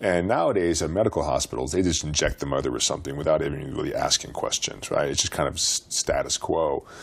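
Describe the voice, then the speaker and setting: With an American accent, a man talks at a very fast pace against noticeable background noise. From US West (Montana, then Utah). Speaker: former pro basketball player. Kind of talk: interview.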